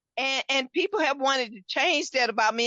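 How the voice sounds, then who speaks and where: Her voice is loud and high-pitched for a woman. She speaks with lively intonation. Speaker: podcast host. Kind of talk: casual chat. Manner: animated.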